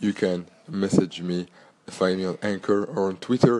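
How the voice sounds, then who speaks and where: The voice carries a French accent and fairly even intonation. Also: man. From Belgium. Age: 30s. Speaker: podcast host and entrepreneur. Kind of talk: solo podcast monologue.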